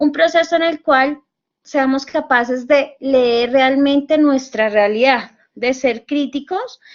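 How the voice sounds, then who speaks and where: Speaking with a Bogotá accent, a woman has a high pitch and ordinary pitch variation. She talks at a very slow pace. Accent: Bogotá Colombian Spanish. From Colombia, Bogotá. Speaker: university tutor. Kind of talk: online lecture. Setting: virtual class session.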